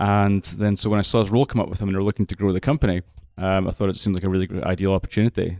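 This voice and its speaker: Someone with a Scottish accent speaks at a very fast pace with fairly even intonation. The sound is dry and close with no echo, a very clean recording with a silent background. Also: man, fairly low pitch for a man. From Scotland. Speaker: aquaculture technology company representative. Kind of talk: interview. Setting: recorded at a conference.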